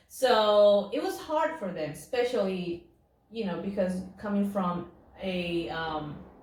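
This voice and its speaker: A woman's medium-pitched voice with a Spanish accent, lively intonation and a fairly slow pace, plus audible room echo. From Peru. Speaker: actress. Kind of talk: interview.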